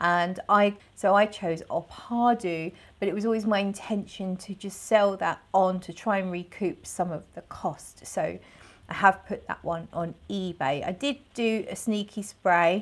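Talking at a fairly slow speed, a woman lets her pitch shift in an ordinary way. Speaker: perfume reviewer. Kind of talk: casual vlog chat. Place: home room. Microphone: phone near.

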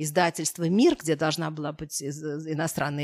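A woman speaks against a quiet background. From Moscow, Russia; Russia. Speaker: historian; guest. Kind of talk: interview talk. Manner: halting. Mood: warm, amused. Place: meeting room. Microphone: podium.

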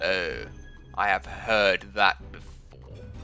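Over clear music in the background, a man performs a put-on character voice at a fairly low pitch.

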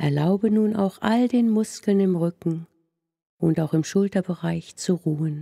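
A woman's unremarkable speaking voice at medium pitch, with ordinary pitch variation and very even loudness. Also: fairly slow pace. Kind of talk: guided meditation. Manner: soft, slow, soothing, calm and gentle.

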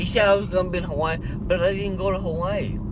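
Delivered at a very fast pace, the speech is dry with no echo, though background noise is noticeable. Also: man. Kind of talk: casual rambling chat. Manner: groggy, slurred post-anesthesia speech. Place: car.

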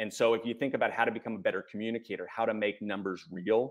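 A man speaks with an American accent and fairly even intonation. The background is quiet. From United States. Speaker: executive coach and author; executive coach. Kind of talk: interview. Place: home room. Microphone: earbuds.

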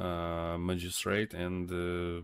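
At a slow pace, a man speaks low and monotone, his clear, smooth tone touched with vocal fry.

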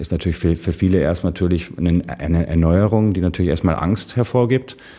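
A man's very deep, low voice, dark and mellow in tone, with ordinary pitch variation and a fairly quick pace. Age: 30s. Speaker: ice hockey club managing director, former pro player. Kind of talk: interview. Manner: hesitant, many fillers and repetitions.

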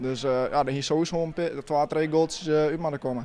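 A man at a fairly quick pace with fairly even intonation. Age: 20s. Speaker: amateur footballer. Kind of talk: post-match interview. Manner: halting. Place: stadium. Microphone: handheld.

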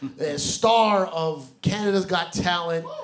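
Against noticeable background noise, a man with a high voice talks at a fairly slow pace in an animated tone, with ordinary pitch variation. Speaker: comedian and podcast host. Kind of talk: live comedy podcast banter. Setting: stage with live audience. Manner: animated, joking, loud.

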